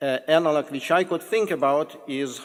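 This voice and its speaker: A man with a Russian accent talks at a moderate pace. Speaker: professor introducing a guest speaker. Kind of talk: formal introduction of a lecture speaker. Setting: lecture hall with audience. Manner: halting, with false starts.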